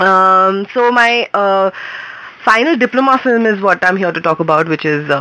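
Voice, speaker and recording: A woman at a medium pitch with lively intonation over noticeable background noise. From India, Mumbai. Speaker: filmmaker. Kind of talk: interview. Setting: radio studio.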